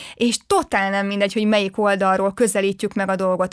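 Very clean and silent in the background, this recording has a woman talking at a very fast pace. Her medium-pitched voice carries an energetic tone. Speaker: podcast host. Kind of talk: casual chat.

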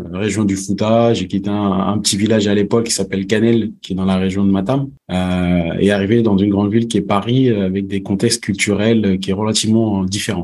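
The delivery moves at a fairly quick pace. The intonation stays monotone and flat. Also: man. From Senegal, came to France at 11. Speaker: entrepreneur, networking expert. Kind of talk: podcast interview.

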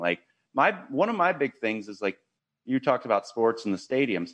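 With an American accent, a man of medium pitch speaks with very wide pitch swings in a dry, close sound with no echo. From Ohio, US Midwest. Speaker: podcaster and content creator. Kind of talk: casual interview chat.

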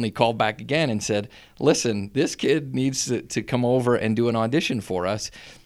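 Moving at a fairly quick pace, a man with an American accent talks at a medium pitch with ordinary pitch variation. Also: very clean recording, silent background. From Schuylkill County coal region, Pennsylvania. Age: 40s. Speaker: school superintendent. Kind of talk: casual interview. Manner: enthusiastic.

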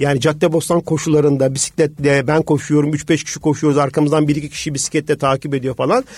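Dry and close with no echo, a man's somewhat breathy voice at a fairly high pitch runs at a very fast pace with hardly any pauses and a monotone, flat intonation. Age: 40s. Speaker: business executive and amateur triathlete. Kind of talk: radio interview.

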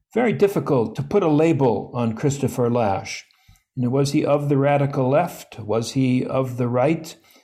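Somewhat breathy and dark, mellow in tone, a man with an American accent speaks at a medium pitch and a moderate pace with ordinary pitch variation. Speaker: historian and think tank president. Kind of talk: interview.

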